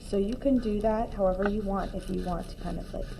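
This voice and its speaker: There is a woman speaking with audible room echo. Noticeable background noise runs behind her. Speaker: art teacher. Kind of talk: tutorial.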